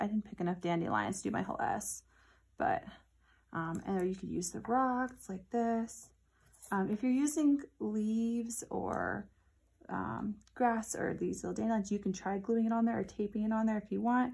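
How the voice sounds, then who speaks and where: Somewhat breathy and dark, mellow in tone, a woman speaks at a moderate pace with lively intonation. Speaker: teacher. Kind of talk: tutorial for children. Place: classroom. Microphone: phone near.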